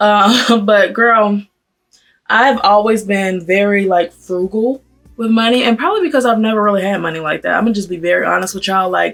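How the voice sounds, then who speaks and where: A woman with a plain, everyday voice, medium in pitch, with ordinary pitch variation and a fairly quick pace. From US South, Atlanta. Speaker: beauty and fashion vlogger. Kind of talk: casual chat while doing makeup.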